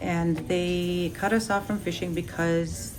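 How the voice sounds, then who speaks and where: A woman speaks at a fairly low pitch. Noticeable background noise and audible room echo fill the recording. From Ruby, interior Alaska. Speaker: village resident. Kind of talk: interview. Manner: hesitant with fillers.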